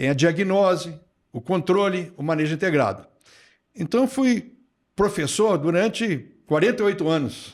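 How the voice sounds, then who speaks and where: There are long, frequent pauses as a man with a high pitch uses lively intonation, on a very clean recording with a silent background. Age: 70s. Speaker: retired plant pathology professor. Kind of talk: podcast interview.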